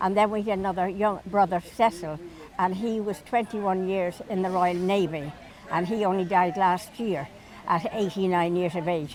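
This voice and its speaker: A woman's medium-pitched voice in a Dublin accent, with fairly even intonation at a moderate pace, over noticeable background noise. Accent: Dublin Irish. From Ireland. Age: 80s+. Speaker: elderly local resident. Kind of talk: reminiscing interview.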